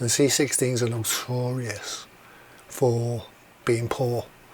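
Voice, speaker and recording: A man speaks at a medium pitch with noticeable background noise. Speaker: retro computer hobbyist youtuber. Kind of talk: casual repair tutorial monologue. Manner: casual, rambling.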